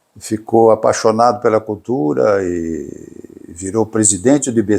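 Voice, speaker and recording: This man has a fairly low pitch, a dark, mellow tone and ordinary pitch variation. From Brazil, Garça, São Paulo state. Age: 70s. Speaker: coffee grower and cattle breeder. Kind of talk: interview storytelling. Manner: halting, with fillers and repetitions.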